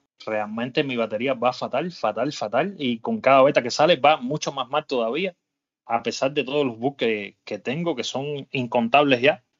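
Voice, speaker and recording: A man talks in an unremarkable speaking voice at medium pitch. His pace is moderate, with ordinary pitch variation. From Cuba. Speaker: podcast host. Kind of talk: casual chat.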